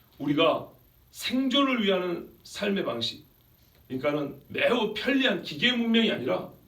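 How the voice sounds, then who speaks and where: Over noticeable background noise, a man talks fairly slowly in a high voice with lively intonation. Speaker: pastor giving a sermon. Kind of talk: sermon preached to a congregation.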